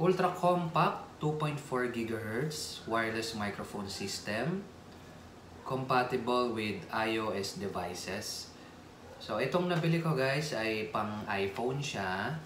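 Over light background noise and audible room echo, a man speaks at a very slow pace. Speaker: vlogger. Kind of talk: casual unboxing vlog chat. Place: home room. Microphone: phone near.

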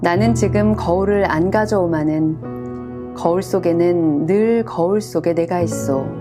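Soft-spoken and calm in tone, the voice moves at a very slow pace with very wide pitch swings and very even loudness. Music plays in the background, and there are hardly any pauses. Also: woman, very deep, low pitch for a woman. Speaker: voice performer. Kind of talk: poetry reading. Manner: calm, soft-spoken.

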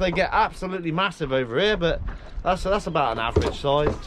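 A man at a fairly quick pace over noticeable background noise. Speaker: fishing channel host. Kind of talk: casual vlog chat. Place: boat. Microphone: phone near.

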